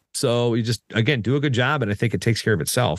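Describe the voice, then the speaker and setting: Lively intonation and vocal fry mark this man's speech against a quiet background. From US South, southeastern Virginia. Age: 40s. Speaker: wrestling announcer. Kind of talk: casual interview. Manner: fast, many repetitions and restarts.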